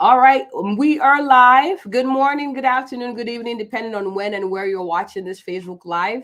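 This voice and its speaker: A woman talking at a moderate pace. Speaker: physician and live show host. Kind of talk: live stream guest introduction. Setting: Facebook Live video stream. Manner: animated, enthusiastic.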